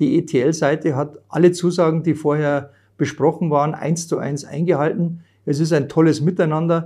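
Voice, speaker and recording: A man's dark, mellow voice at a moderate pace, flat and monotone in intonation. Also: fairly high pitch for a man, quiet background. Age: 50s. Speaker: tax advisor. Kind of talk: interview. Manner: hesitant with frequent fillers.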